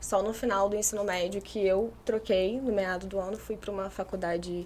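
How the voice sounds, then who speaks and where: Her pitch sitting in the medium range, a woman talks in a monotone, flat intonation. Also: moderate pace. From Brazil, Macaé (Rio de Janeiro state). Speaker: architecture student. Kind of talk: casual interview chat.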